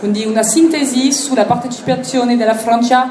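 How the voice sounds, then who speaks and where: A woman with an Italian accent speaks at a fairly slow pace and a high pitch. Audible room echo and noticeable background noise surround her voice. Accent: non-native Italian. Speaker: interpreter. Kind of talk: consecutive interpreting.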